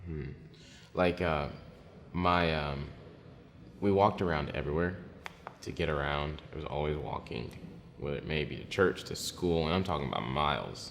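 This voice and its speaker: A man with a very deep, low pitch talks at a moderate pace with ordinary pitch variation and long, frequent pauses, amid audible room echo and noticeable background noise. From DR Congo (Kinshasa), then Plano, Texas. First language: French. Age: 20s. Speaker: singer-songwriter. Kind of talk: interview testimony. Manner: hesitant, many fillers.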